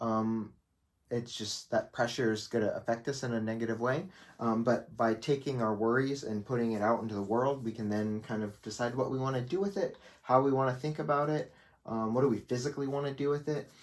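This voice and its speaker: At a fairly quick pace, a man speaks at a medium pitch with ordinary pitch variation, in a very clean recording with a silent background. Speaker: cartoonist teaching drawing. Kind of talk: tutorial. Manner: fast; hesitant, many fillers.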